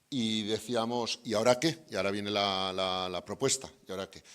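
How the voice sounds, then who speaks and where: This man talks at a moderate pace. He has a Spanish accent. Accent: Spanish (Spain). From Spain. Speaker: development bank representative. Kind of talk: closing remarks at event. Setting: university event with audience. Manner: hesitant, many fillers.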